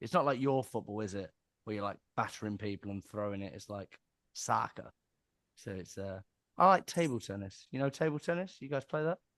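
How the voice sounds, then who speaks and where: A man in a strong Cockney accent, fairly low in pitch and fairly quick, with lively intonation and big swings in loudness, in a dry, close sound with no echo and a quiet background. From southern England. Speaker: sales agency director and author. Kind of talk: casual interview chat.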